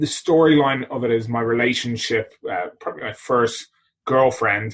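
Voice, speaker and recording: With an Irish accent, a man speaks at a medium pitch and a moderate pace. His intonation stays fairly even. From Ireland, Dublin. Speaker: body transformation coach and author. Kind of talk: podcast interview.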